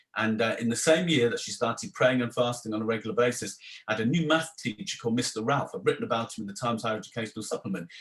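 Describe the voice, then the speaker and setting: Words pour out of this man extremely quickly. He has a mid-range voice that varies in pitch in a usual way. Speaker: theology professor. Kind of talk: interview.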